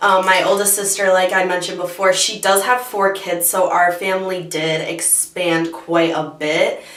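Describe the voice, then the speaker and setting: A woman of medium pitch talks at a fairly slow pace with hardly any pauses and fairly even intonation, amid noticeable background noise and audible room echo. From Michigan, US. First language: Bosnian. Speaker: beauty youtuber. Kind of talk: casual chat.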